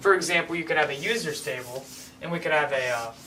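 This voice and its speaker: Speech at a fairly quick clip, with noticeable background noise. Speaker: programming teacher. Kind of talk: tutorial. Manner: fast; animated.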